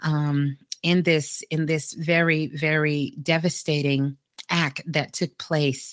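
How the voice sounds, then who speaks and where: Monotone, flat intonation in a dry, close sound with no echo. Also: woman. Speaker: radio host and psychic medium. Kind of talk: call-in radio show.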